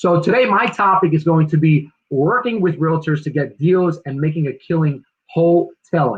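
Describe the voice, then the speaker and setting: The speaker has a New Jersey accent. The pace is moderate. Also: man, fairly high pitch for a man, ordinary pitch variation. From New Jersey (Newark). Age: 40s. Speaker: real estate agent and investor. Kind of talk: presentation. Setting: virtual livestream.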